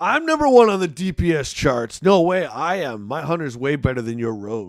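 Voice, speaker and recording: A man's put-on character voice, fairly high in pitch, with very wide pitch swings at a moderate pace. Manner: funny, exaggerated, bragging.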